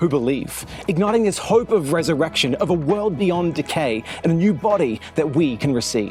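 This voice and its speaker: Over background music, the speaker talks at a moderate pace with pitch that swings very widely. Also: man. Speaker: spoken word poet. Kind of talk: spoken word poetry performance.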